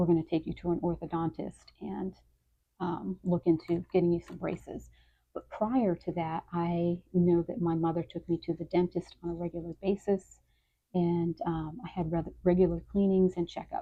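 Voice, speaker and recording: A soft-spoken woman, fairly low in pitch, monotone and flat, at a moderate pace. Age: 50s. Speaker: lifestyle vlogger. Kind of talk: personal vlog monologue. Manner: hesitant, many fillers. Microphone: occasional bumps on the microphone, volume issues.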